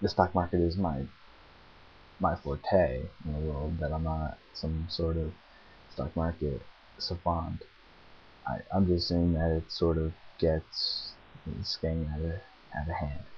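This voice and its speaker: Amid light background noise, a man with a very deep, low pitch talks at a fairly slow pace in a flat monotone, leaving long, frequent pauses. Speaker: vlogger. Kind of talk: casual vlog chat. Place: home room. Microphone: webcam.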